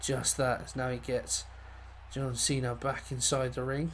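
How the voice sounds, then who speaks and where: A man is speaking. Room echo can be heard. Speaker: gaming commentator. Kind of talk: live commentary.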